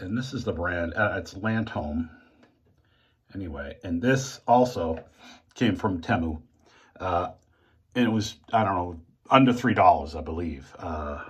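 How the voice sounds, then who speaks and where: A man's very deep, low, somewhat breathy voice with an American accent, fairly slow with long, frequent pauses, on a very clean recording with a silent background. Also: lively intonation. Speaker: shaving video creator. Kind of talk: casual tutorial monologue. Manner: halting.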